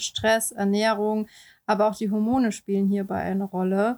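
Monotone, flat intonation from a woman of medium pitch at a moderate pace, on a very clean recording with a silent background. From Baden-Württemberg, southwestern Germany. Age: 30s. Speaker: beautician and illustrator, podcast co-host. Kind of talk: casual podcast introduction.

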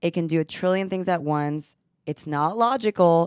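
A woman with a Texan accent at a moderate pace and fairly even intonation, on a very clean recording with a silent background. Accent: Texan-tinged American English. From Texas, born in Israel. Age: 30s. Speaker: cosmetic injector, podcast co-host. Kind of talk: casual chat.

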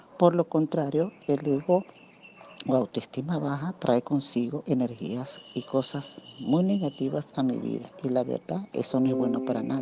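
With noticeable background noise, a woman speaks at a fairly slow pace in a very deep, low voice with ordinary pitch variation. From Venezuela. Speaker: radio panelist. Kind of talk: prepared talk.

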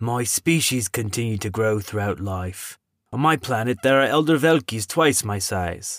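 A man speaks in a put-on character voice at a medium pitch. The recording is very clean, with a silent background. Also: moderate pace. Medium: read story. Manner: calm, formal, old-fashioned.

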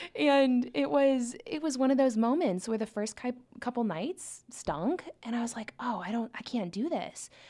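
A woman with a Midwestern American accent speaks at a moderate pace in a high pitch with a dark, mellow tone. Her pitch swings very widely. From Nebraska, Omaha. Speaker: university program coordinator. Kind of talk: casual chat. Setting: studio.

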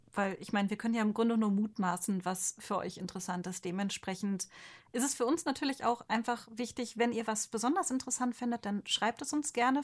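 Somewhat breathy, a woman talks at a fairly quick pace with a fairly high pitch and ordinary pitch variation. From Ostwestfalen-Lippe, Germany. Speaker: manga artist. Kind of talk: casual chat.

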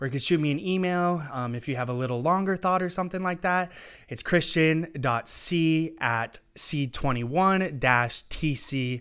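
A man with an American accent has a plain, everyday voice, fairly high in pitch with ordinary pitch variation. He speaks at a fairly slow pace on a very clean recording with a silent background. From Eastern Washington, US. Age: 20s. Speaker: 3D printing entrepreneur. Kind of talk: interview. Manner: casual, many filler words.

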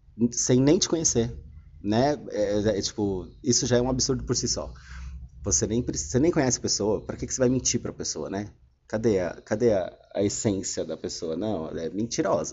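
A man's medium-pitched voice with vocal fry and lively intonation, at a moderate pace. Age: 30s. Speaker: podcaster. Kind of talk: casual monologue. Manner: halting.

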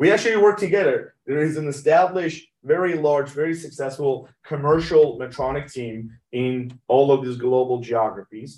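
At a moderate pace and with hardly any pauses, a man talks in a fairly high voice with ordinary pitch variation. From Iran (Tehran), moved to US at 16. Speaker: medtech company CEO. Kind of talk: interview. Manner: halting, many fillers.

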